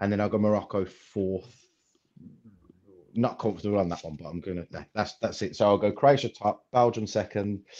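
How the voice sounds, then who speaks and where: A man with a plain, everyday voice speaks at a fairly low pitch and a moderate pace, with fairly even intonation. His loudness swings widely against a quiet background. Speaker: guest football pundit. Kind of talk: casual chat.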